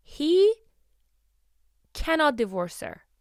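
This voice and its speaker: Her pitch swings very widely in an animated tone. The woman is recorded very cleanly against a silent background. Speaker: podcast host. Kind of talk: casual commentary monologue. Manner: loud, yelling.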